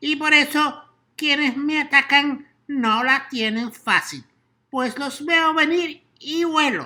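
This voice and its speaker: A high-pitched put-on character voice speaks at a very slow pace on a very clean recording with a silent background. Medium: read story. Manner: eager.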